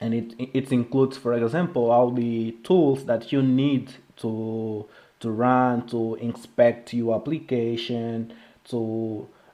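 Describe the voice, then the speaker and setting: A man with a non-native accent and medium pitch, at a very slow pace with fairly even intonation. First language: Portuguese. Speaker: software developer, live streamer. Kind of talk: live-stream technical walkthrough. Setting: live stream. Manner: halting, many fillers and restarts.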